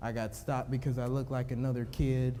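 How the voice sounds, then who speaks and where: A man with an American accent speaks at a fairly quick pace in a medium pitch. His tone is dark and mellow, and room echo is audible. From Cleveland, Ohio. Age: 20s. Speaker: police officer and youth program founder. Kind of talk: conference speech. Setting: stage with audience.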